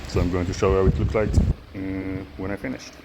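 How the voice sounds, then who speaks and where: Against noticeable background noise, a man with a non-native accent speaks in a very deep, low pitch. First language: not English. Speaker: DIY machine builder. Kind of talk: tutorial. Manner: halting.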